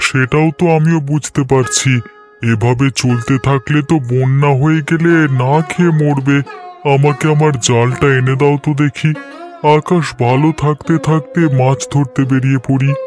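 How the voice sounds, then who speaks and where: A cartoonish character voice speaks at a low-to-middle pitch and a fairly slow pace. Clear music plays in the background. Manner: worried.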